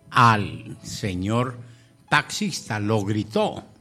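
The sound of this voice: Lively intonation in an unforced reading voice.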